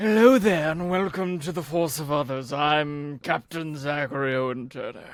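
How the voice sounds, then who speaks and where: Putting on a character voice with a theatrical tone, a man speaks at a fairly high pitch and moderate pace, with hardly any pauses. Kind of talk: show-host introduction. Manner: theatrical, swashbuckling.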